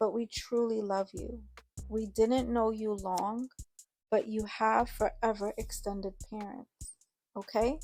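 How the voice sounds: Over a quiet background comes a natural reading voice, its intonation fairly even.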